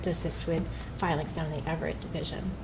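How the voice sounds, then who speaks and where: Amid noticeable background noise, a woman's voice carries audible room echo. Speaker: judge. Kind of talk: presentation to city council. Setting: council meeting. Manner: fast; hesitant with many fillers.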